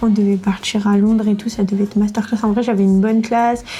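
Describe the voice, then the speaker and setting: There is noticeable background noise as a woman talks at a very fast pace in a fairly high pitch. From France, Var. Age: 20s. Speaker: student. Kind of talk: casual chat.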